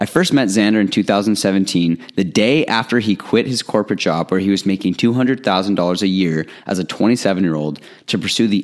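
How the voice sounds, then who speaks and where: On a very clean recording with a silent background, a man with a plain, everyday voice speaks at fairly low pitch with ordinary pitch variation. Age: 20s. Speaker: podcast host. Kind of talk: scripted intro.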